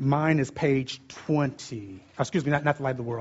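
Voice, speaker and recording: The man's voice is fairly high, with ordinary pitch variation. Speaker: preacher. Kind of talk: sermon. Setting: stage with audience. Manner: fast talker, loud.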